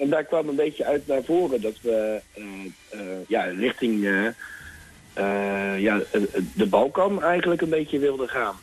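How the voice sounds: Speaking at a fairly slow pace, a man uses lively intonation, with a slightly husky edge to his voice. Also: medium pitch for a man.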